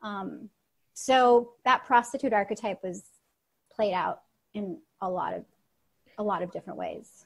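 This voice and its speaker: A woman speaks at a fairly slow pace in a fairly high, somewhat breathy voice with ordinary pitch variation. Her delivery has long, frequent pauses and big swings in loudness. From Russia. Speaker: storytelling coach and performer. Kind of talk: interview answer.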